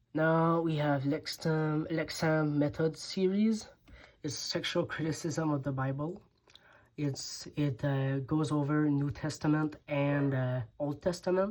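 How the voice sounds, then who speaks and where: A woman with a French accent speaks at a very deep, low pitch. Her pace is very slow and her intonation fairly even. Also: very clean recording, silent background. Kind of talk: casual talk to camera.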